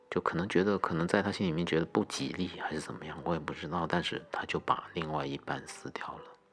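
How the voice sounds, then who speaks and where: With hardly any pauses, a man speaks very fast in a very deep, low pitch and fairly even intonation over noticeable background noise. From Guangdong, China (Haifeng roots). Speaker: podcast host. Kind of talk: personal monologue.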